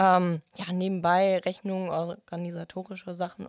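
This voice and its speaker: With a normal speaking voice, a woman talks at a medium pitch. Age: 18. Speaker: trainee at a wholesale company. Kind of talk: casual interview. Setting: studio.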